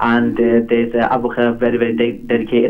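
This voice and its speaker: A man's medium-pitched voice with a Yorkshire accent at a very fast pace. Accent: Bradford. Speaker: community football club founder. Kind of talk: phone interview. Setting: phone call. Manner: halting.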